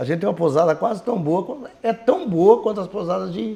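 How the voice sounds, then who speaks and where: This is a man speaking. His pitch is high. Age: 60s. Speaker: mayoral candidate. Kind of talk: interview.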